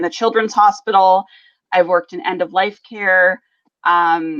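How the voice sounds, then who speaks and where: A woman speaks with a western Canadian accent at a medium pitch. Her pace is fairly slow, and her intonation fairly even. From Alberta, western Canada. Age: 30s. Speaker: business coach. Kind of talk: interview. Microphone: slight delay on the line.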